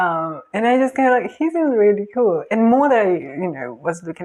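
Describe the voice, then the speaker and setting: A woman with a Spanish accent talks at a very fast pace. Her pitch makes very wide swings. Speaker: K-pop reaction youtuber. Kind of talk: casual reaction commentary. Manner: hesitant, many fillers.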